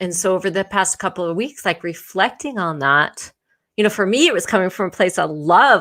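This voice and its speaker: A woman speaks with a bright, sharp tone. Her pitch is medium, with ordinary pitch variation. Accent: American. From United States. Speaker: intimacy and relationship educator, show host. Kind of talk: live-streamed conversation. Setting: online live stream.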